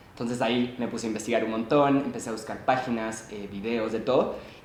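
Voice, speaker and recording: A man at medium pitch, very fast and monotone, flat in intonation, amid audible room echo and noticeable background noise. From Chile, Santiago. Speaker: student. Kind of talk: podcast interview.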